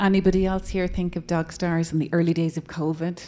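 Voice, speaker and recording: At a moderate pace, a woman with a plain, everyday voice speaks at a fairly low pitch with fairly even intonation. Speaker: radio book club host. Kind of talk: audience Q&A. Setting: bookstore event with live audience.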